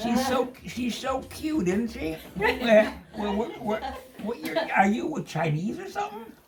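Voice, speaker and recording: A man speaks at an extremely high pitch, his voice swinging very widely up and down. The pace is fairly slow, with noticeable background noise. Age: 80s+. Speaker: vlogger. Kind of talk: casual chat. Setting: indoor party. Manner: animated.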